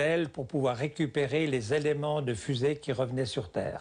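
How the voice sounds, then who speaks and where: A man's fairly high, somewhat breathy voice. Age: 70s. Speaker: hang-gliding pioneer. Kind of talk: interview testimony. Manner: halting, with repetitions.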